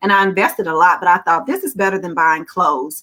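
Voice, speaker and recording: Speaking in a Southern US accent, a woman has a medium pitch and a bright, sharp, animated tone. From Alabama. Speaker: children's author. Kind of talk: virtual panel talk. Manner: animated storytelling.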